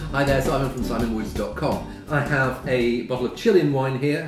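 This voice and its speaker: A man talks at a moderate pace amid audible room echo, with music in the background. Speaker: wine reviewer. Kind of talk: casual tasting review to camera. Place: home room. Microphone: camera far.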